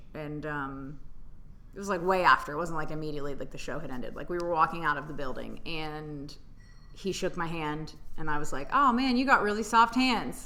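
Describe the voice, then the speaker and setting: Audible room echo surrounds a woman with an American accent whose very deep, low pitch pairs with a bright, sharp tone, lively intonation and a fairly quick pace. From Tennessee, US South. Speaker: stand-up comedian. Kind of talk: casual chat. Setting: comedy club room.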